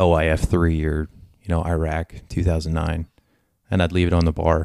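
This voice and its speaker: In an American accent, a man speaks with a very deep, low pitch. The recording is very clean with a silent background, and the sound is dry and close with no echo. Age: 30s. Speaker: military veteran. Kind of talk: casual chat.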